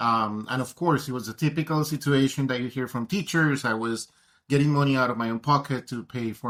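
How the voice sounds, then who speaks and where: On a very clean recording with a silent background, a man with a Colombian accent talks with ordinary pitch variation. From Colombia, Bogotá. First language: Spanish. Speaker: tech education advocate. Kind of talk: interview.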